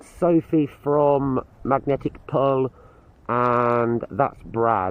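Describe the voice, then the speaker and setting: Very slow speech from a man, medium in pitch. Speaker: magnet fishing vlogger. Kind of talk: casual vlog chat. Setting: outdoors by a canal.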